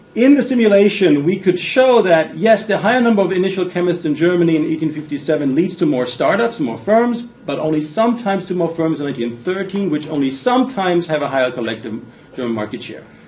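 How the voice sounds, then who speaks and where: A man talks very fast at a high pitch with hardly any pauses and very wide pitch swings. Audible room echo and noticeable background noise are present. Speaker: business school professor. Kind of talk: lecture.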